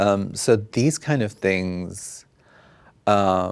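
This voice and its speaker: A man with fairly low pitch at a very slow pace. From South Africa. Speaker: fashion designer and activist. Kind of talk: interview. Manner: halting, many fillers.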